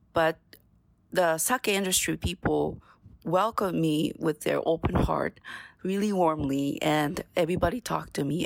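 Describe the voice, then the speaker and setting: With a Japanese accent, a woman talks at a moderate pace in a fairly low pitch with vocal fry and ordinary pitch variation, recorded very cleanly against a silent background. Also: dry, close sound with no echo. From Japan, Ibaraki Prefecture. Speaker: sake sales and marketing manager. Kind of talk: casual chat.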